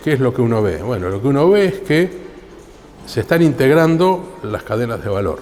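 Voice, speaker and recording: A man at a moderate pace, his pitch swinging very widely, over noticeable background noise. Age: 60s. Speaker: computer science professor and researcher. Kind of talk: interview. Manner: hesitant, with fillers.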